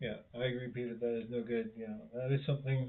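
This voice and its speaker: The man speaks at a moderate pace and a medium pitch. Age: 50s. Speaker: YouTuber living with Parkinson's. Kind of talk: live stream chat reading comments.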